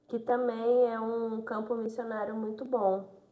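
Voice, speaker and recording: Woman at a fairly slow pace. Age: 20s. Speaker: nursing technician, deaconess. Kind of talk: interview testimony. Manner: reserved, few words.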